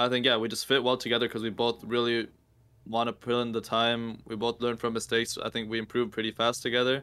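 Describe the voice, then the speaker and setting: A man speaks at a fairly quick pace in a flat, monotone intonation. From Peru. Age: 20s. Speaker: professional gamer. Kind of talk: casual chat.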